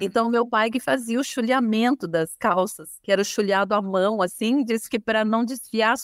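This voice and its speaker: A plain, everyday voice belongs to a woman with a fairly high pitch and lively intonation. She speaks at a moderate pace, and the sound is dry and close with no echo. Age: 50s. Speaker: fashion designer and business owner. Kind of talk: interview.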